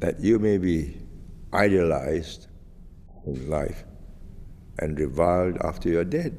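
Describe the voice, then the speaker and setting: With a Singaporean accent, a man speaks at a very deep, low pitch with a dark, mellow tone and ordinary pitch variation. His delivery is fairly slow, with long, frequent pauses. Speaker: retired politician. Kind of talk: interview answer. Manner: soft-spoken, slow.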